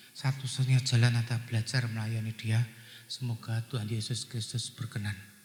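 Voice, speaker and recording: Flat, monotone delivery from a man at a moderate speed. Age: 60s. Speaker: guest preacher and businessman. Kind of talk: sermon. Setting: church.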